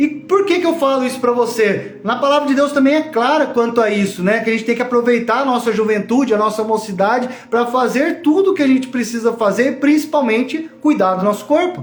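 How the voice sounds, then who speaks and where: A moderate pace, ordinary pitch variation, and very even loudness, with noticeable background noise and audible room echo. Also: man. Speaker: online course teacher. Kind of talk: live online class. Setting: livestream from home.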